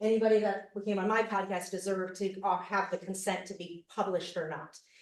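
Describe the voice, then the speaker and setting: With audible room echo in the background, a woman at medium pitch talks at a moderate pace. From US, Arizona. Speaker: cult survivor and podcast host. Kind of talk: conference presentation.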